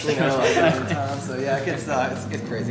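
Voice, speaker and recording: A man with a central Pennsylvania accent talks at a very fast pace, with noticeable background noise and audible room echo. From central Pennsylvania (Altoona). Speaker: rock band musician. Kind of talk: casual interview.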